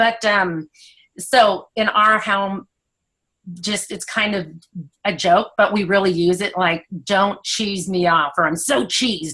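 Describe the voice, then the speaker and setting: Speaking at a very slow pace, a woman uses a bright, sharp tone with ordinary pitch variation. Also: medium pitch for a woman. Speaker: guest speaker and direct sales consultant. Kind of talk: motivational talk. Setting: video call. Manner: animated.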